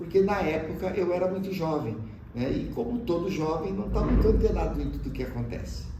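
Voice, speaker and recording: A man keeps to a moderate pace as audible room echo and noticeable background noise fill the recording. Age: 60s. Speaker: teacher. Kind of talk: interview testimony. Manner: hesitant, with filler sounds.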